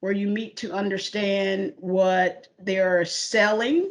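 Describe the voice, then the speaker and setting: The speaker has a Southern US accent and a fairly slow pace. The intonation stays fairly even. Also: woman. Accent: Southern drawl. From US South, Charlotte, North Carolina. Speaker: corporate IT mergers and acquisitions lead. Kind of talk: career interview. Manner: hesitant, many fillers.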